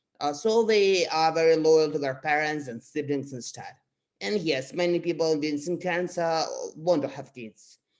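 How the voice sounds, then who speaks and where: A moderate pace with a Russian accent. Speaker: astrology youtuber. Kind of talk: casual explainer monologue. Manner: halting, many fillers.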